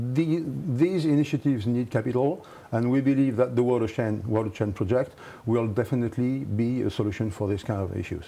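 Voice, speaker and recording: Spoken at a moderate pace with a French accent, the voice has a dark, mellow tone. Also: man. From France. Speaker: company executive. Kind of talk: interview. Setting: studio. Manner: halting.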